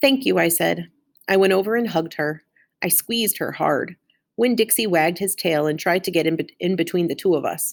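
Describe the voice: Against quiet surroundings, someone plainly reads aloud.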